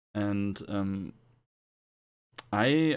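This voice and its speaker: A man speaks with a German accent at a fairly low pitch. The recording is very clean, with a silent background. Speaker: gamer podcast guest. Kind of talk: casual chat. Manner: halting.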